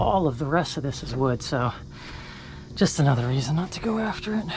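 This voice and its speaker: Music sounds in the background as the words come at a fairly quick pace. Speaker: dumpster diver vlogger. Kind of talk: casual vlog narration. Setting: outdoors.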